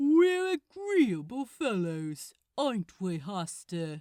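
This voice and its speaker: A put-on character voice with a fairly high pitch at a very slow pace. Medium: read story. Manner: rowdy, taunting.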